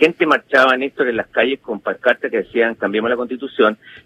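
A man at a fairly quick pace. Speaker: political analyst. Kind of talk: interview. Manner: halting.

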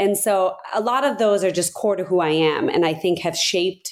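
A woman with a normal speaking voice and an American accent, medium in pitch, with lively intonation at a moderate pace. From Abu Dhabi, UAE; US from age ten. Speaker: business executive. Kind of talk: interview.

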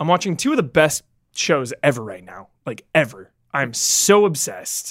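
In an animated, enthusiastic tone, a man speaks at a moderate pace with vocal fry and very wide pitch swings. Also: fairly high pitch for a man, big swings in loudness. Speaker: movie podcast co-host. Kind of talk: casual chat.

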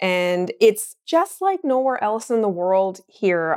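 With a Newfoundland accent, a woman speaks at a medium pitch. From Newfoundland (Mount Pearl). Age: 40s. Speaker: entrepreneur and tattoo artist. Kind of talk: interview.

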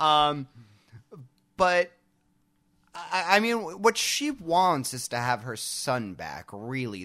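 In a very clean recording with a silent background, a man with an American accent speaks in a bright, sharp tone. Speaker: podcast co-host. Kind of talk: casual chat.

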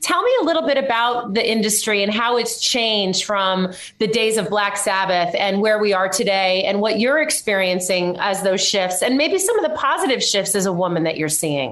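Noticeable background noise and audible room echo fill the recording of a medium-pitched woman. She speaks with lively intonation, very even loudness and hardly any pauses. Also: moderate pace. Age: 50s. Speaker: podcast host. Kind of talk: interview. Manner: animated.

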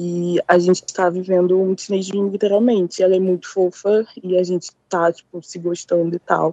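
A woman's dark, mellow, monotone voice with flat intonation, hardly any pauses, and a dry, close sound with no echo. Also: medium pitch for a woman, moderate pace. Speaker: caller. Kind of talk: phone-in advice. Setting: phone call. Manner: shy.

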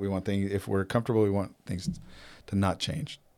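A man talks in an ordinary speaking voice, fairly low in pitch with ordinary pitch variation. The recording is very clean, with a silent background. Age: 50s. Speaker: nursing home administrator and gym owner. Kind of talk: casual interview conversation. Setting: studio, in person.

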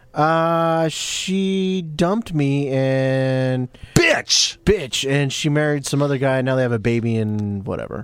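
Hardly pausing, a man talks at a fairly slow pace and fairly high pitch over noticeable background noise. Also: ordinary pitch variation. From Latin American heritage. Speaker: wrestling podcast co-host. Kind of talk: casual chat. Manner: animated.

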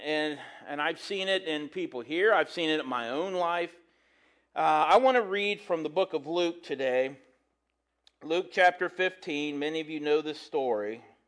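In a normal speaking voice, a man talks at a moderate pace, his fairly high pitch showing ordinary pitch variation against a quiet background. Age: 40s. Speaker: pastor and schoolteacher. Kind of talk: sermon. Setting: church with congregation. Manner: conversational, casual.

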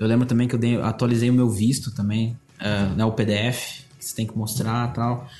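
The man's voice has a dark, mellow tone and is somewhat breathy. His intonation stays monotone and flat. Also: medium pitch for a man, moderate pace. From Brazil, interior of Paraná (Cascavel). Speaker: art director. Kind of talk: casual interview chat.

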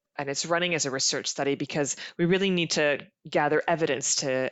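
Speaking with a Canadian accent, a woman has a very deep, low pitch. She keeps a moderate pace and fairly even intonation. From Canada. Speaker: genetic counselor and director. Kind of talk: interview conversation.

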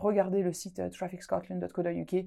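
The speaker has vocal fry and talks with an Alsatian accent. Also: woman. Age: 20s. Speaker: podcast host. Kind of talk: casual podcast chat. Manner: animated, laughs often.

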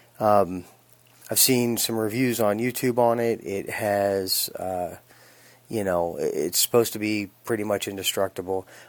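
A man speaks in a normal speaking voice, fairly low in pitch, with an American accent. His pace is fairly slow and his intonation fairly even. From Phoenix, Arizona. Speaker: knife reviewer. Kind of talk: recorded product review. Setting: sent-in recording.

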